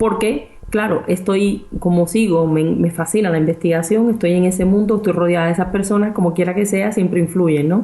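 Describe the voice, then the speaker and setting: A woman with a medium pitch talks at a moderate pace, barely pausing, her intonation fairly even. Her loudness stays very even, and there is noticeable background noise. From Cuba. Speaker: research scientist and property investor. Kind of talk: interview.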